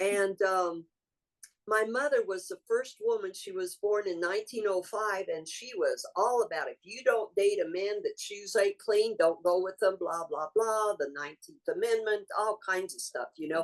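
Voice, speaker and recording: With music in the background, a woman speaks at a moderate pace and medium pitch, her pitch varying in an ordinary way while her loudness swings widely. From New Mexico. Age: 70s. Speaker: medicine woman, spiritual guide. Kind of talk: interview.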